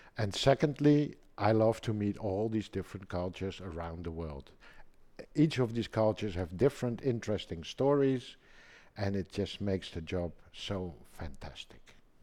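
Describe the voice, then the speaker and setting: A man with a Dutch accent speaks at a moderate pace in a fairly low pitch with lively intonation. The recording is very clean, with a silent background. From Netherlands, Amsterdam. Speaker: pump export manager. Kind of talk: casual chat; scripted narration.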